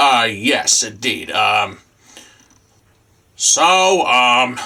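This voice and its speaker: Using a put-on character voice, a man speaks in a raspy tone at medium pitch. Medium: puppet. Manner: hesitant, stammering.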